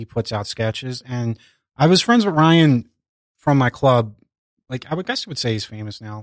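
A normal speaking voice from a man, medium in pitch with ordinary pitch variation, moderate pace and big swings in loudness, in a very clean recording with a silent background and a dry, close sound with no echo. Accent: American. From US Northeast, Philadelphia. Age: 40s. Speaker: comedian and bar owner. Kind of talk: casual interview chat.

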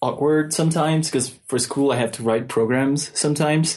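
Speaking at a moderate pace with a Mexican accent, a man uses a fairly high pitch and ordinary pitch variation. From Mexico City. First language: Spanish. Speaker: software developer. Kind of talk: casual chat. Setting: remote call.

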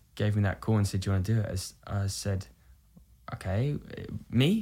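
A man speaks with a British accent, sounding somewhat breathy. The recording is very clean, with a silent background. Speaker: musical theatre actor. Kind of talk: casual chat. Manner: halting.

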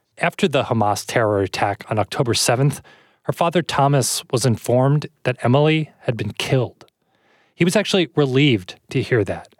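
An ordinary speaking voice with lively intonation, delivered at a moderate pace. The recording is very clean and dry, close with no echo and a silent background. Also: man, medium pitch for a man. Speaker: podcast host. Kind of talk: news podcast narration and introduction.

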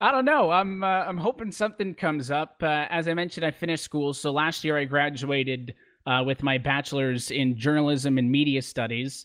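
Fairly high in pitch, a man talks at a fairly quick pace with ordinary pitch variation. He has a normal speaking voice. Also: hardly any pauses. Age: 20s. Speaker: esports racing commentator. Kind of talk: interview.

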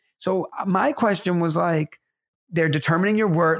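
With a New York accent, a man speaks in an animated tone at a moderate pace, his high pitch moving with ordinary variation. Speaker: teacher and podcast co-host. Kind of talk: casual chat.

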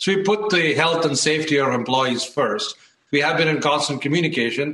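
A man with a fairly high pitch speaks at a moderate pace with fairly even intonation. He has a plain, everyday voice. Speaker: tech company CEO. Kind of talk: TV interview.

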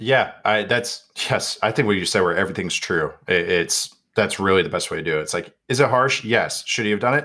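Captured in a very clean recording with a silent background, a man with an unremarkable speaking voice and a fairly low pitch talks at a fairly quick pace with lively intonation. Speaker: football analyst. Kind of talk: casual chat.

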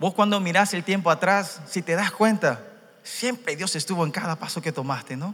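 A man's raised, projected, animated voice at a moderate pace, with noticeable background noise. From Paraguay (Korean family). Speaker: church interpreter. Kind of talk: sermon interpretation and personal testimony. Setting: church youth conference with audience.

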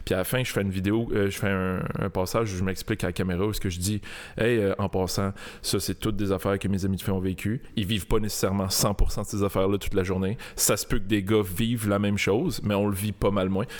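On a very clean recording with a silent background, a man speaks fairly quickly in a fairly low, monotone, flat voice. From Montreal, Quebec (Saint-Léonard). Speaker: comedy video creator, former police officer. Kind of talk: casual chat. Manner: calm, composed.

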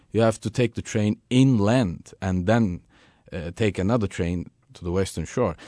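A man speaks in a Turkish accent with a dark, mellow tone and ordinary pitch variation. The background is quiet. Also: moderate pace. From Turkey. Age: young. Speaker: tour guide. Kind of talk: radio interview.

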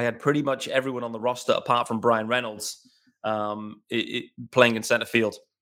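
A man with an English accent speaks at a medium pitch and a fairly quick pace, his bright, sharp tone held to a flat monotone on a very clean recording with a silent background. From England. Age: 30s. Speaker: sports podcast host. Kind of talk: solo podcast commentary. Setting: home recording in living room.

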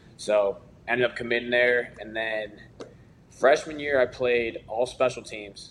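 A plain, everyday voice belongs to a man of medium pitch with an American accent, speaking at a fairly slow pace with fairly even intonation and big swings in loudness. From Chicago area. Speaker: pro football player. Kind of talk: interview.

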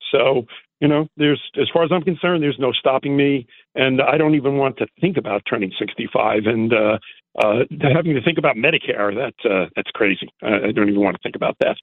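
A man with an ordinary speaking voice talks at a fairly quick pace, his fairly high pitch moving with lively intonation. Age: 60s. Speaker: caller, event space owner. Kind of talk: phone-in call.

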